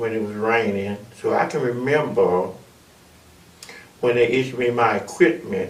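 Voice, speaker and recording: In an Alabama accent, a man speaks at a fairly slow pace, with audible room echo and noticeable background noise. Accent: Southern US (Alabama). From US South, Alabama (Monroeville). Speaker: army veteran and chaplain. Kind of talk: oral history testimony.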